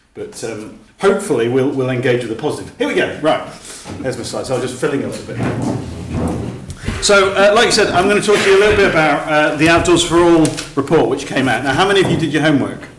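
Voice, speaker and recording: A man with a fairly high pitch talks very fast with lively intonation. Noticeable background noise and audible room echo fill the recording. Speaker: outdoor sports policy advocate. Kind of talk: presentation at a meeting. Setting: meeting room with audience.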